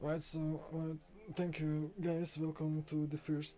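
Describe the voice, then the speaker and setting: The pace is fairly slow. Behind the speech, music plays. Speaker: live commentator for sword fighting duels. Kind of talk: live sports commentary.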